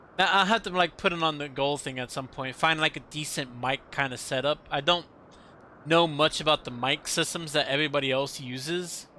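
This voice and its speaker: A loud man with a fairly high pitch, a bright, sharp tone, ordinary pitch variation and a fairly quick pace. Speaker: gaming streamer. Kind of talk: live stream chat.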